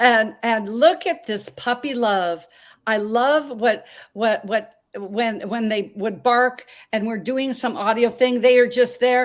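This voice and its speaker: Her voice fairly high in pitch with ordinary pitch variation, a woman with an American accent speaks at a very slow pace on a very clean recording with a silent background. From Montana. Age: 60s. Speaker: talk show host. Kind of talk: interview.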